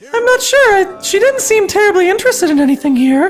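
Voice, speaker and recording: A man puts on a squeaky character voice, pitched extremely high and rattled off at a very fast pace. Background noise is clearly audible. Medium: read story. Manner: nervous, hesitant.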